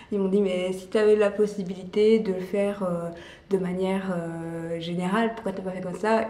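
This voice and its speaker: A woman's medium-pitched voice in monotone, flat intonation at a moderate pace, with big swings in loudness over noticeable background noise. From Belgium. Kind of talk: casual talk to camera.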